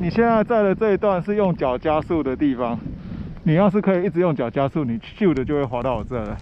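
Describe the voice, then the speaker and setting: Over light background noise, a man with a fairly high voice talks at a fairly quick pace, his pitch swinging very widely in a dry sound with no echo. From Taiwan. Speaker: skier filming a vlog. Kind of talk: casual chat. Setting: outdoors. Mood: playful, joking. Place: open country. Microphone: phone near.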